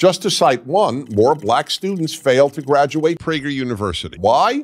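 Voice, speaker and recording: A man talks at a moderate pace with very wide pitch swings. The background is quiet. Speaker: presenter. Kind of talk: scripted explainer to camera. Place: studio.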